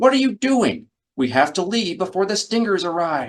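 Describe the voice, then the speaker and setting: Putting on a character voice, a man speaks at a moderate pace in a high pitch with very wide pitch swings. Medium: read story.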